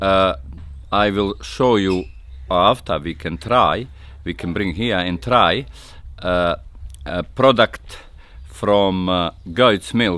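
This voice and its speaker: A man's very deep, low voice with lively intonation, at a very slow pace with long, frequent pauses. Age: 60s. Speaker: goat farmer. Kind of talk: interview. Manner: halting.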